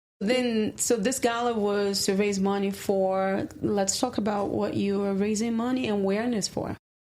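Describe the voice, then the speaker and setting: Speaking at a moderate pace with hardly any pauses, a woman with a non-native accent keeps a medium pitch and fairly even intonation. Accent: noticeable foreign. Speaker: podcast host. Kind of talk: casual interview chat. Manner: hesitant, with fillers.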